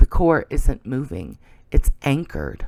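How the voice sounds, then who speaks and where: A man uses a raspy, put-on character voice at a medium pitch. His fairly slow delivery sounds dry and close, with no echo. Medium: read story. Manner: clipped, terse.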